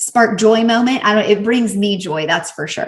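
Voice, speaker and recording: A woman at medium pitch speaks in a somewhat breathy voice with a Southern US accent. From US South. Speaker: professional organizer and podcaster. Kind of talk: product review vlog. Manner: animated.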